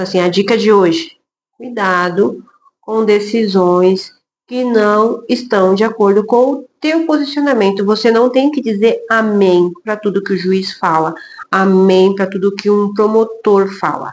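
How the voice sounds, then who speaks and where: A woman at a medium pitch with ordinary pitch variation, at a fairly slow pace. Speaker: lawyer. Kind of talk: casual talk to camera about work experience. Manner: loud.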